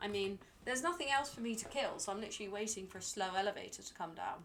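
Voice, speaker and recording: A woman speaks with a British accent. Her pitch is medium and her pace fairly quick. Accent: very British. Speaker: video game streamer. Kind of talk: casual live-stream commentary. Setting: live stream. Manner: chatty, hesitant with fillers.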